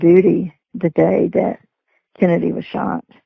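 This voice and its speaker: A woman talks in a Texan accent. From Texas. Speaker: retired sheriff's dispatcher. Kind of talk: interview.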